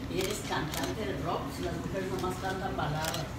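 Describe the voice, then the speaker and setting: Speaking at a fairly slow pace, a woman is heard with audible room echo and loud background noise. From Mexico, Guadalajara. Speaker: rock singer. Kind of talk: press conference. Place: hall.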